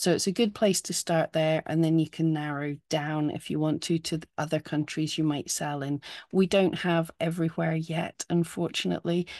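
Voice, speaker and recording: A woman with a British accent speaks in a very deep, low pitch and a flat monotone, with hardly any pauses. The sound is dry and close, with no echo. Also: moderate pace, quiet background. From United Kingdom. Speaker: keyword tool company presenter. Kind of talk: webinar tutorial.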